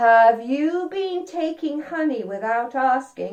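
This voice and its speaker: A woman puts on a character voice, speaking at a fairly slow pace with a high pitch. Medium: read story. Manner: gentle, patient.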